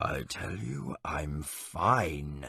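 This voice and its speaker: A man's raspy, put-on character voice, very deep and low in pitch, with ordinary pitch variation. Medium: audio drama. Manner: jovial, stubborn.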